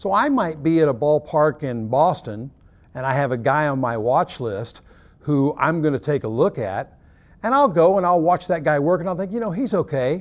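Here a man speaks with an American accent. His pace is moderate and his intonation lively. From Oklahoma. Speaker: baseball umpire coordinator. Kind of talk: interview. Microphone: lapel.

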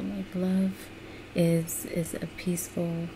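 Amid noticeable background noise, a woman with an American accent speaks in a fairly low voice with fairly even intonation. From United States. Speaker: ASMR creator. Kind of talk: casual encouraging commentary. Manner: soft, gentle whisper. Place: home room. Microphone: webcam.

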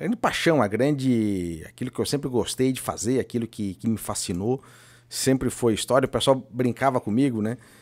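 Moderate pace and ordinary pitch variation from a man, over a quiet background. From Florianópolis, Santa Catarina, Brazil; Santa Catarina, Brazil. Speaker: former mayor. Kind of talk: casual interview. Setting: studio. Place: studio. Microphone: studio mic.

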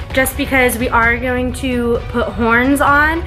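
With clear music in the background, a woman speaks in a fairly even intonation. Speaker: makeup vlogger. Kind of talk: tutorial. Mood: light, chatty. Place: home room. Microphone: phone near.

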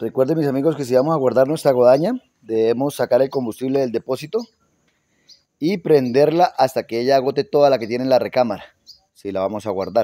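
A man's dark, mellow tone at a fairly quick pace, in a dry sound with no echo. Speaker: garden channel host. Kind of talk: casual tutorial chat. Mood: friendly, relaxed. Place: garden. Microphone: phone near.

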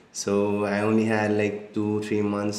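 A man's fairly low voice with audible room echo. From India, Assam. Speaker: marketing agency founder. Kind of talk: interview, casual chat. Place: home room.

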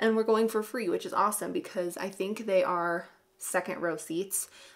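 The background is quiet. The speech moves at a moderate pace with lively intonation. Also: woman. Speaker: beauty vlogger. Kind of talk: casual vlog chat. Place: home room.

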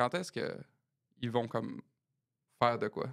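A man's voice against a quiet background. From Quebec. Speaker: musician and podcast co-host; podcast co-host. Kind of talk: casual chat. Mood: jovial, laughing. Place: studio. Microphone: studio mic.

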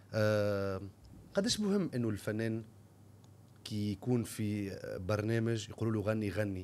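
A man with a fairly low voice speaks at a very slow pace with fairly even intonation. Long pauses come frequently. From Tunisia. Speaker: podcast host. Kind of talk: interview. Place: studio. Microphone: studio mic.

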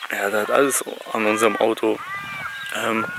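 With noticeable background noise and a dry sound with no echo, a man talks at a moderate pace with ordinary pitch variation. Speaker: travel vlogger. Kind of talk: casual vlog chat. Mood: frustrated, resigned. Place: open country. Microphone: phone near.

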